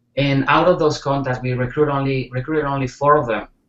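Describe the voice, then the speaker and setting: With a Spanish accent, a man speaks in a monotone, flat intonation. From Spain. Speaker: network marketer. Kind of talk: interview.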